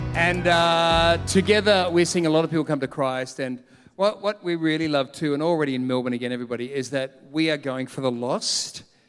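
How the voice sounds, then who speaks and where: With an Australian accent, a man talks at a fairly quick pace with hardly any pauses. His pitch is fairly high, with ordinary variation. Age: 50s. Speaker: pastor. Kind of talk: sermon. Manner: animated.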